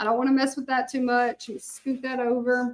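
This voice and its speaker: A high-pitched woman's voice with a Southern US accent. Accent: Southern US accent, noticeable. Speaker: hand-lettering artist. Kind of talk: live craft tutorial chat. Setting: live stream. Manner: chatty, casual.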